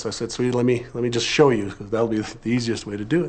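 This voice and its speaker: Fairly even intonation is heard against noticeable background noise. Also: man. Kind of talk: testimony.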